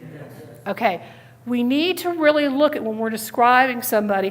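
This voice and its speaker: A woman speaks loudly. Noticeable background noise runs underneath. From Connecticut. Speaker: police officer and safety trainer. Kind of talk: training talk. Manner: fast.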